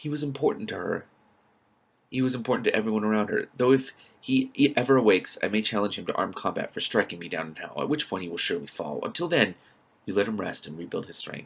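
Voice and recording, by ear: A man's put-on character voice, fairly low and fast, with vocal fry, a slightly husky edge and lively intonation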